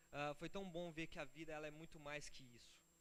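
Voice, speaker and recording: A man talks with a fairly high pitch. Audible room echo surrounds his voice. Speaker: pastor. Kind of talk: sermon. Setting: church. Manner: fast; animated.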